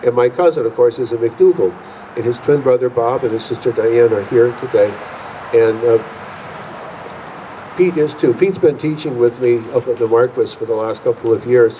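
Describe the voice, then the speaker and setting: Long, frequent pauses break up a man's speech at a moderate pace. Noticeable background noise runs underneath. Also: medium pitch for a man, ordinary pitch variation. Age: 70s. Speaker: honored fife and drum veteran, drum teacher. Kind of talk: acceptance speech. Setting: museum hall with audience. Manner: halting.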